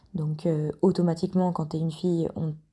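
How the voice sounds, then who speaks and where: Speaking in a flat monotone, a woman has a fairly low pitch and a dark, mellow, somewhat breathy tone. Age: 20s. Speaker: listener sharing a testimony. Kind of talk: testimony.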